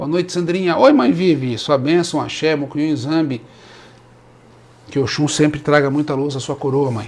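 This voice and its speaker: Here a man with a fairly high pitch talks at a moderate pace. His intonation is fairly even, broken by long, frequent pauses. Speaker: Umbanda priest. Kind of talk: live stream talk. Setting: live stream.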